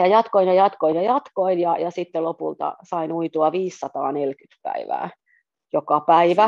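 A woman's fairly low voice at a very slow pace with ordinary pitch variation. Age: 40s. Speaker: journalist and amateur swimmer. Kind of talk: casual interview.

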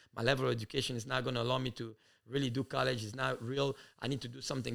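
Very fast and in a monotone, flat intonation, a man speaks at medium pitch with vocal fry. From DR Congo (Kinshasa), moved to US at about 12. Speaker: youth soccer academy director. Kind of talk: interview. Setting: at guest's home, on camera.

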